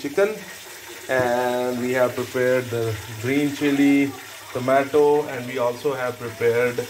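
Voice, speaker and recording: The pace is very slow. Light background noise sits behind the speech. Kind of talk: cooking tutorial narration. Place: kitchen. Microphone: phone near.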